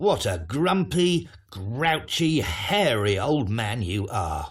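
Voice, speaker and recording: Doing a put-on character voice, a man sounds gruff at a medium pitch, speaking at a very slow pace with very wide pitch swings. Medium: read story. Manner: gruff, grouchy.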